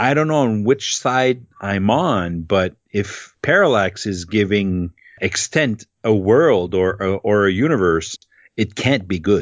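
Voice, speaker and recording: A man with a French accent speaks at a very slow pace. His fairly low voice carries lively intonation. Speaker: podcast co-host. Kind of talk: casual chat.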